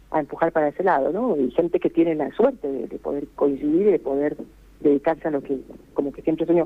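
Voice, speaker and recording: Her voice sits very deep and low. This woman talks very fast. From Costa Rica. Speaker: singer. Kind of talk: interview.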